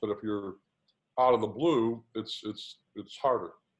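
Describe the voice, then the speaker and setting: A man speaks in an ordinary speaking voice at a medium pitch and a moderate pace. His intonation is fairly even, and the background is quiet. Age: 60s. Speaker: patient advocate, board member. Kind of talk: panel discussion.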